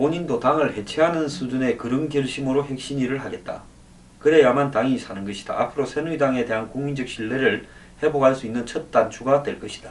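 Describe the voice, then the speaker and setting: Noticeable background noise behind a man's fairly high voice, with ordinary pitch variation and a fairly quick pace. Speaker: political commentator. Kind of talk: solo political commentary. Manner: conversational, uses many fillers.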